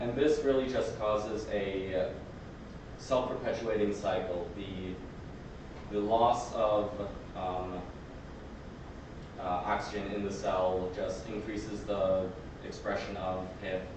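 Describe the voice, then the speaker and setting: Amid noticeable background noise and audible room echo, a man with a fairly low voice speaks at a very slow pace, with fairly even intonation and long, frequent pauses. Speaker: student presenter. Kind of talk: lecture. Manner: halting.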